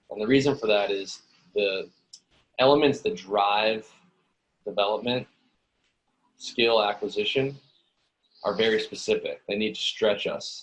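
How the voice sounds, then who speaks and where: A man talks in an American accent at a moderate pace. He leaves long, frequent pauses. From Los Angeles. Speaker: gym owner and coach. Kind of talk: interview.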